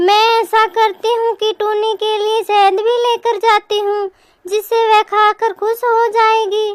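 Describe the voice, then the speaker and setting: A woman does a cartoonish character voice at an extremely high pitch, speaking at a fairly slow pace with monotone, flat intonation. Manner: warm, caring.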